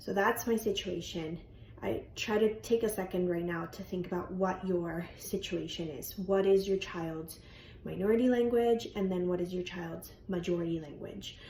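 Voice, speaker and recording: With a Spanish accent, a woman talks at medium pitch and a moderate pace, her tone dark and mellow. She sounds somewhat breathy, her pitch variation is ordinary, and there's audible room echo. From Colombia. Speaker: bilingual speech language pathologist. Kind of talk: educational talk. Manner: informal, with frequent fillers.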